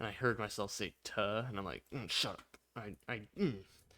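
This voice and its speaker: A man's fairly low voice with a bright, sharp tone, captured on a very clean recording with a silent background. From Michigan. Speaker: gaming video creator. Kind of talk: casual gameplay commentary. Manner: casual, rambling.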